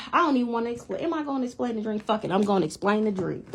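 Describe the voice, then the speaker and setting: A woman talks in an animated tone. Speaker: spiritual vlogger. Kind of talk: casual monologue. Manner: fast.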